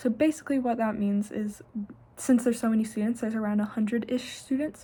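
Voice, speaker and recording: Her American accent comes through in a fairly high, somewhat breathy voice with a dark, mellow tone and fairly even intonation. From southern Ohio, Scioto County. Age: 20s. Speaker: university student, internship applicant. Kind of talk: self-recorded interview answers. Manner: casual with filler words.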